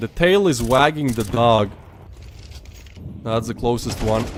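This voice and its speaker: A man talks with a non-native accent at a moderate pace. His pitch swings very widely. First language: not English. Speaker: esports caster. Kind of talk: live commentary. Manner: animated.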